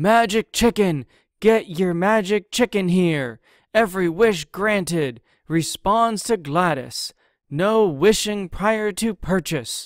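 A put-on character voice, shouting at a fairly slow pace. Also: man, high pitch for a man. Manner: shouting, calling out a sales pitch.

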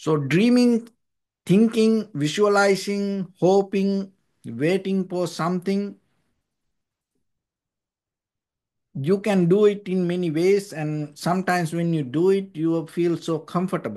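With long, frequent pauses, a man with a high pitch and a dark, mellow tone talks at a fairly slow pace, showing ordinary pitch variation over a quiet background. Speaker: monk teacher. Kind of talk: dharma talk. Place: home room. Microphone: video call.

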